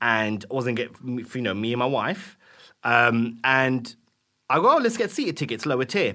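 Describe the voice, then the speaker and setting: A man's bright, sharp tone at a moderate pace. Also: medium pitch for a man, ordinary pitch variation, very clean recording, silent background. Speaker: podcast co-host. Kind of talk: casual chat.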